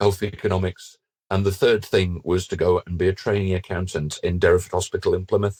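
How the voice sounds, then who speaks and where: A man speaks in a very deep, low voice that is somewhat breathy. His delivery is fairly quick, with monotone, flat intonation. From northern England. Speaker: finance director. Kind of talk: podcast interview. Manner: halting, with repeated words.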